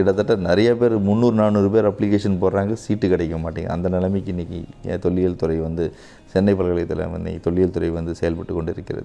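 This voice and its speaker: Fairly even in intonation, a man talks at a very deep, low pitch. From Tamil Nadu. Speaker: archaeologist; interviewee. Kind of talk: interview. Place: home room. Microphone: lapel.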